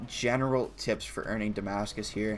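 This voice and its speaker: Over light background noise, a man speaks at a fairly low pitch with ordinary pitch variation. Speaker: gaming YouTuber. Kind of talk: gaming tutorial. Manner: halting, stumbles over words; casual. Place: home room. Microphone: headset.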